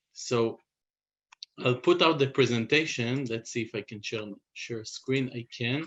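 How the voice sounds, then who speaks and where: A man with a non-native accent talks at a fairly slow pace with long, frequent pauses. His medium-pitched voice shows ordinary pitch variation and big swings in loudness. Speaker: biotech company CEO. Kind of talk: presentation. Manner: halting, many fillers.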